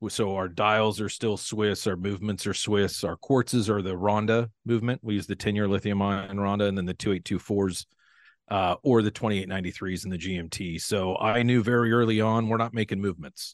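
A man speaks in a plain, everyday voice with an American accent, at a fairly low pitch and fairly quick pace, with fairly even intonation in a dry, close sound with no echo against a quiet background. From US Pacific Northwest. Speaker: watch company founder. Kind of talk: interview conversation. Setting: home podcast studio. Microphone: crisp studio sound.

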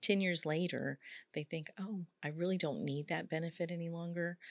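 A woman with an ordinary speaking voice talks at a fairly quick pace, her pitch fairly low with ordinary variation, and the sound is dry and close with no echo. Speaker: benefits director guest. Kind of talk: interview, conversational.

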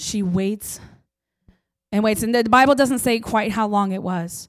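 In a very clean recording with a silent background, a woman with an American accent speaks in a plain, everyday voice, fairly high in pitch, with fairly even intonation. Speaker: preacher. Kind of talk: sermon.

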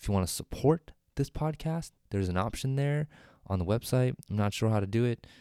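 A man at medium pitch with a dark, mellow tone and lively intonation at a fairly quick pace, in a dry, close sound with no echo on a very clean recording with a silent background. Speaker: solo podcaster. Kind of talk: casual monologue. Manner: unscripted, with many fillers; normal speaking voice, not ASMR.

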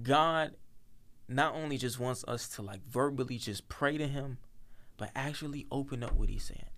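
This man has a plain, everyday voice with a fairly high pitch. He speaks at a moderate pace with fairly even intonation. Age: young. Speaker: podcast co-host. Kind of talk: casual chat.

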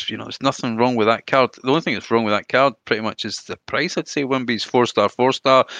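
A man speaks in a bright, sharp tone with fairly even intonation. The sound is dry and close with no echo, and the background is quiet. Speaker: gaming podcast guest. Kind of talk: casual chat.

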